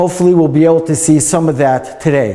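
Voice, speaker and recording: A man speaks with a New York accent. His pitch varies in an ordinary way. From US Northeast, New York; US Northeast. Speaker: museum guide. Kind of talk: guided tour talk. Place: hall. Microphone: lapel.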